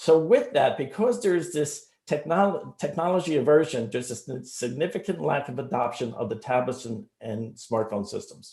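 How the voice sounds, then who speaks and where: This man has a New Jersey accent and a fairly high, somewhat breathy voice with a dark, mellow tone, and his pitch swings very widely as he talks with hardly any pauses. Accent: New Jersey American. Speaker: startup founder pitching. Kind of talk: sales pitch. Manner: fast.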